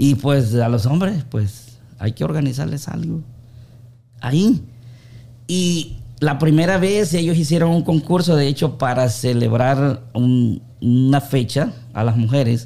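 A man speaks at a medium pitch and a very slow pace. His intonation is lively. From Honduras, Olanchito. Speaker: baker and amateur singer. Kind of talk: casual interview chat.

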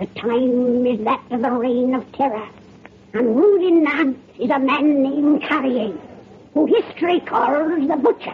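A put-on character voice at a high pitch. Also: moderate pace. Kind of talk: 1930s radio horror host. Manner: cackling, relishing the gruesome.

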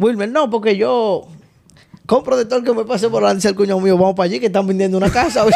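A man with a Dominican accent speaks at a very fast pace and a high pitch. His loudness stays very even, and his pitch variation is ordinary. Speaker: podcast co-host. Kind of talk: casual chat.

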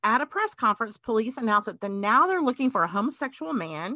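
A woman with a Southern US accent, lively intonation and a bright, sharp tone, against a quiet background. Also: dry, close sound with no echo. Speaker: podcast host. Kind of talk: casual chat.

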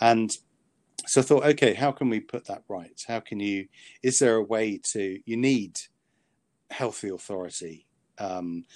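Recorded very cleanly with a silent background and a dry, close sound with no echo, a man speaks at a moderate pace with ordinary pitch variation. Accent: British. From Britain. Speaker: author and psychiatrist. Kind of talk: interview. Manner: halting.

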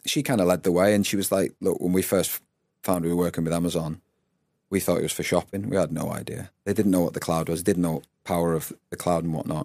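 Talking at a very fast pace, a man with a northern English accent uses a very deep, low pitch and fairly even intonation on a very clean recording with a silent background. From Northwest England. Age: 40s. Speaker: former rugby player and performance coach. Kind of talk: interview conversation.

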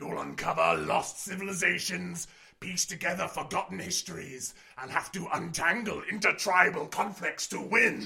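At a moderate pace, a man uses a put-on character voice pitched high, with ordinary pitch variation. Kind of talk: comic sketch acting. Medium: audio drama. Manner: earnest, salesman-like.

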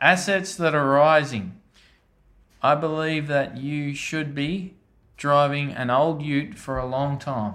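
Audible room echo surrounds a man speaking very slowly in a rural Australian accent. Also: ordinary pitch variation. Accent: broad rural Australian. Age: 30s. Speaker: farmer. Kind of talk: interview. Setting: on a farm.

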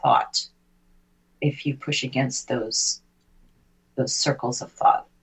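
Her voice is very deep and low for a woman. She sounds somewhat breathy. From Britain. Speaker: poet and visual artist. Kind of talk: casual chat.

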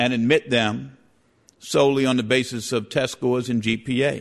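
At a moderate pace and medium pitch, a man with an American accent talks in an ordinary speaking voice. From New York City, the Bronx. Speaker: civil rights lawyer. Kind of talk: formal debate.

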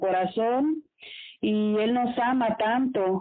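Fairly high-pitched with fairly even intonation, a woman talks in an ordinary speaking voice. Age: 40s. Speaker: radio host. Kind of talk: casual chat.

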